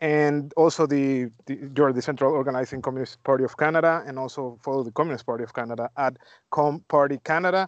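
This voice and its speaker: A man talks with a Spanish accent. His pitch is fairly high and his intonation fairly even. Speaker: podcast host. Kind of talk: interview.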